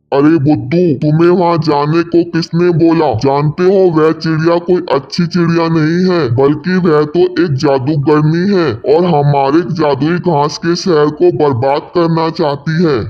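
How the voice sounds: Over light background noise, a man does a cartoonish character voice at a fairly high pitch and a fairly slow pace.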